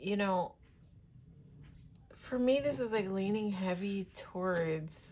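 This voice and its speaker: With audible room echo, a woman speaks at a very slow pace in a medium pitch that has ordinary variation. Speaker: tarot reader. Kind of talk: tarot reading. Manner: giggles while talking; halting, many fillers.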